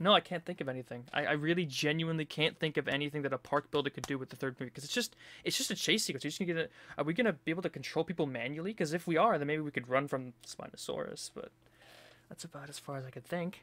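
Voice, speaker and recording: A man with a fairly high, bright, sharp voice talks very fast in an animated tone, with ordinary pitch variation and big swings in loudness. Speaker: gaming video creator. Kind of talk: trailer reaction commentary.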